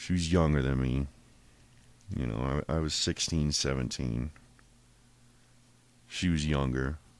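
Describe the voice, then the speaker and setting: A man's very deep, low voice with fairly even intonation and long, frequent pauses. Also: fairly slow pace. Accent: American. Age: 30s. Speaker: podcaster. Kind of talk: personal monologue, life story. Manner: casual, profane, rambling speech.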